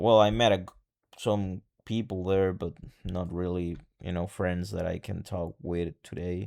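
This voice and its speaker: Very deep and low, a man's voice moves at a moderate pace. Its intonation is fairly even, and the recording is very clean with a silent background. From El Salvador. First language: Spanish. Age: 20s. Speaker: vlogger. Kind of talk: personal vlog monologue. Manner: halting.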